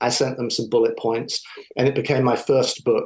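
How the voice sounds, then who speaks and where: In an English accent, a man talks at a medium pitch. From southern England. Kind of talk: interview.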